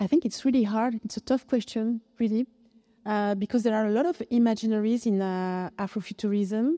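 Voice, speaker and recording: With a French accent and a dark, mellow tone, a woman of fairly high pitch speaks at a fairly quick pace with ordinary pitch variation, the sound dry and close with no echo on a very clean recording with a silent background. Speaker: philosopher. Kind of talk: panel discussion. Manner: halting.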